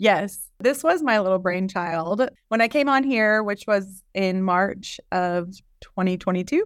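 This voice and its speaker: At a fairly slow pace, a woman of medium pitch speaks with lively intonation in a very clean recording with a silent background. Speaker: podcast co-host, marketing director. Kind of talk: casual conversational podcast chat. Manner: giggly, laughs a lot.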